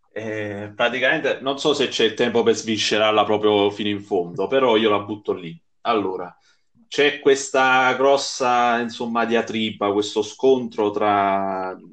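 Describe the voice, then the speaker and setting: A man's medium-pitched voice at a fairly slow pace, fairly even in intonation, against a quiet background. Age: 30s. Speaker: online football manager game player. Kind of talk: casual chat. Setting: live podcast.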